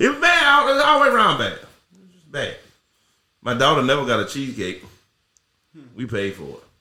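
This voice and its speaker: Amid audible room echo, a man talks at a fairly quick pace with long, frequent pauses and big swings in loudness. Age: 40s. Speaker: podcast co-host. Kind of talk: casual chat.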